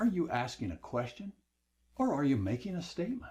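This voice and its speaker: A man speaks in a dark, mellow tone that is somewhat breathy. His pitch swings very widely. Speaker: online course instructor. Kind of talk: lecture. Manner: slows down for emphasis.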